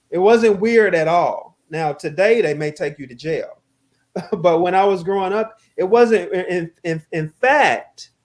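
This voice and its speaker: Speaking with a slight Southern US accent, the voice moves at a fairly slow pace. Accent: slight Southern twang. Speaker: guest speaker on race. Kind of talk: casual conversation.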